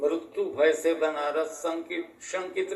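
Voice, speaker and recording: A man with lively intonation. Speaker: local history expert. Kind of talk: interview answer.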